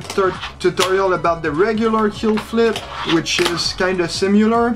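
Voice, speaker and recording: A man's voice with music in the background. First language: not English. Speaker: fingerboarder. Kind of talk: casual talk to camera.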